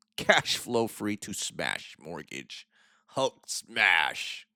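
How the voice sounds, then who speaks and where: Using a put-on character voice, a man talks very slowly at a fairly low pitch. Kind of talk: broken caveman-like speech. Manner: slow, lumbering, smashing.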